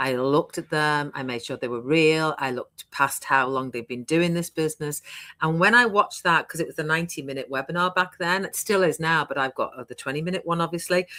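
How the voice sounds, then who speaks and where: In a British accent, a woman speaks at a fairly quick pace with a very deep, low pitch and ordinary pitch variation. Her tone is bright and sharp, and the recording is very clean, with a silent background. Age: 60s. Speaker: online business coach. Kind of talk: interview. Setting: live stream.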